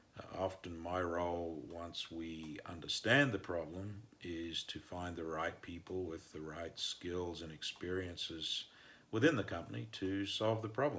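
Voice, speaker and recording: Using ordinary pitch variation, a man speaks in an Australian accent at a very deep, low pitch. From northern Australia. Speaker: mining engineer and consultant. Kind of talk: podcast interview answers.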